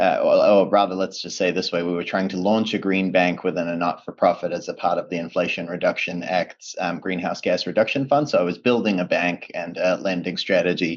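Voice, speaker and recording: With a New Zealand accent, a man talks at a fairly quick pace with hardly any pauses. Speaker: project finance professional. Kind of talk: webinar presentation.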